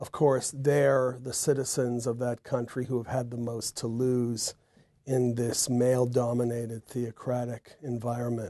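Against a quiet background, a man with an American accent speaks at a fairly slow pace, his medium-pitched voice dark and mellow in tone and monotone and flat in intonation. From United States. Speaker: composer. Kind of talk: interview; interview answer. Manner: halting. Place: home room. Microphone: lapel.

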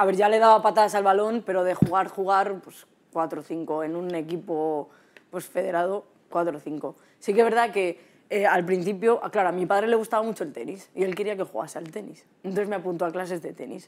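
A woman at a fairly quick pace, with ordinary pitch variation and big swings in loudness. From Madrid region, Spain. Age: 20s. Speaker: footballer; guest. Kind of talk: casual chat. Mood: relaxed, reminiscing. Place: studio. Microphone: lapel.

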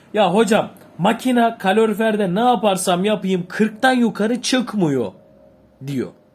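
With a high pitch and ordinary pitch variation, a man speaks at a very slow pace. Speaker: boiler repair instructor. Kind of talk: tutorial. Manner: halting.

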